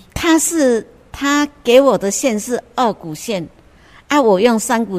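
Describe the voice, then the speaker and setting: Pitch swings very widely in a Taiwanese accent. The pace is very slow. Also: woman. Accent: Taiwanese Mandarin. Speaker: cross-stitch crafter. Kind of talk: interview. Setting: on location at a cultural center.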